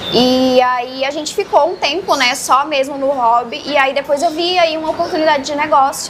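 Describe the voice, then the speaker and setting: With hardly any pauses, a woman talks at a moderate pace in a high voice with ordinary pitch variation, against noticeable background noise. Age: 20s. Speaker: aquarium influencer. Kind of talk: interview.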